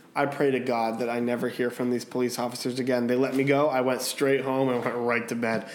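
Over noticeable background noise, a man talks in an animated tone at a moderate pace. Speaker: podcast host. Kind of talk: casual chat.

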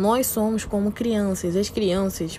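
At a fairly slow pace, a woman talks in a normal speaking voice with a medium pitch. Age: 20s. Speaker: podcaster. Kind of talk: motivational monologue.

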